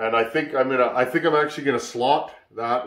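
A man with a Canadian accent speaks at a moderate pace, with audible room echo over a quiet background. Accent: Canadian, he says he doesn't hear it. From Canada. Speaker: sheet metal worker and chainsaw hobbyist YouTuber. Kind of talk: casual workshop talk to camera. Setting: home workshop. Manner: relaxed, filler-heavy. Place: workshop. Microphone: camera far.

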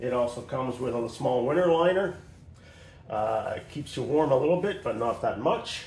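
Somewhat breathy and at a moderate pace, a man speaks with ordinary pitch variation amid audible room echo. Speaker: motorcycle rider reviewing his gear. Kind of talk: casual gear review.

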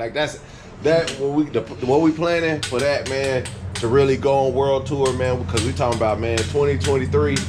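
A man talks at a moderate pace with ordinary pitch variation. Noticeable background noise can be heard. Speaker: vlogger. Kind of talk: casual vlog chat. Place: garage. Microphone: phone near.

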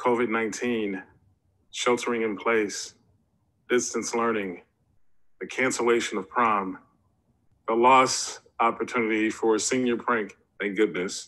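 Speaking at a fairly slow pace, a man keeps a monotone, flat intonation broken by long, frequent pauses. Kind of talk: formal ceremonial speech. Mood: earnest, solemn. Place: home room. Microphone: webcam.

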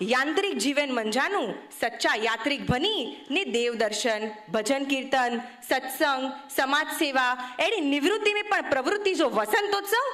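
Over noticeable background noise, a woman speaks in a high pitch. Her pitch swings very widely while her loudness stays very even. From Kutch, Gujarat (Bhujpur village). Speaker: speaker. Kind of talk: speech.

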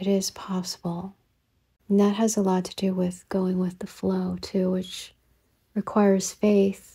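A woman's dark, mellow, somewhat breathy voice, monotone and flat in intonation, at a very slow pace. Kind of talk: podcast monologue to camera, reflective spiritual talk.

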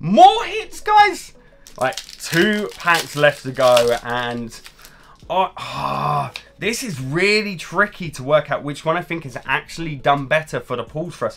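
A man with a British accent at a fairly slow pace, with big swings in loudness. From UK. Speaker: pokemon card youtuber. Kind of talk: card pack opening video. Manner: animated. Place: home room.

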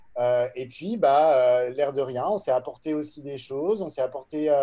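A man with a dark, mellow tone speaks at a very slow pace, his pitch fairly high for a man and his pitch variation ordinary. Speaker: entrepreneur. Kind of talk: panel discussion. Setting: video call. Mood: relaxed, conversational. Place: home room. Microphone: video call.

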